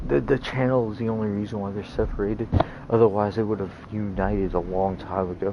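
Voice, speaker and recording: Someone with an American accent speaks at a very fast pace over noticeable background noise. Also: man, fairly low pitch for a man. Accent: sounds American. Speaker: gaming streamer. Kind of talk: casual chat. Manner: animated.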